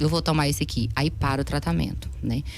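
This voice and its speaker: A woman talks at a very fast pace. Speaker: psychiatrist. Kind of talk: interview. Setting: studio.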